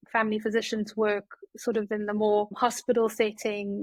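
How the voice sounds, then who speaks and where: A woman in a South African accent speaks at medium pitch and a fairly quick pace with monotone, flat intonation, in a dry, close sound with no echo. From South Africa, Johannesburg. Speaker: family physician. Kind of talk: podcast interview. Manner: hesitant, many fillers.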